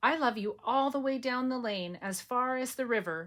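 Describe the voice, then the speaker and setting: A woman speaks in a put-on character voice with a high pitch. Her pace is moderate, and the recording is very clean with a silent background. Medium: read story.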